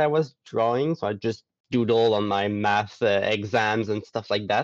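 In a Quebec accent, a man speaks with lively intonation. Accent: Québécois French. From Quebec, Gaspé. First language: French. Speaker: artist and roleplayer. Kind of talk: casual chat.

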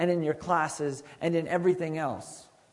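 Noticeable background noise under a man's high pitch. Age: 30s. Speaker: youth pastor. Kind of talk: sermon. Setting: school chapel with student audience.

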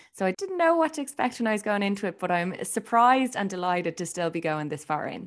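Talking very fast with hardly any pauses, a woman in an Irish accent swings her medium-pitched voice very widely. The recording is very clean, with a silent background. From Ireland. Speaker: radio presenter and journalist. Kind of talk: casual interview chat.

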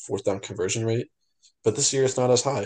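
A man speaks in an American accent, his intonation fairly even, with a quiet background behind him. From Long Island, New York. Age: 20s. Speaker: podcast co-host. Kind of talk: casual chat.

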